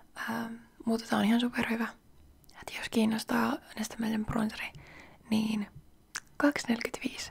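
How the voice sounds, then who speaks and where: Soft-spoken and relaxed, a woman talks in a fairly high pitch at a moderate pace with monotone, flat intonation and long, frequent pauses. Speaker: ASMR creator. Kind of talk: soft-spoken ASMR chat to camera. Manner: soft-spoken, relaxed, chatty.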